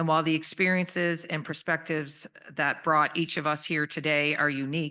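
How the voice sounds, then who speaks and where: Over a quiet background, a woman with a very deep, low pitch speaks at a fairly quick pace in a bright, sharp tone with monotone, flat intonation. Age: 60s. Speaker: government minister. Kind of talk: speech.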